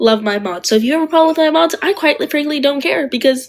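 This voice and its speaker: Here a woman speaks at a very fast pace. Her high voice has lively intonation. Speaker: livestreamer. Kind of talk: live stream chat.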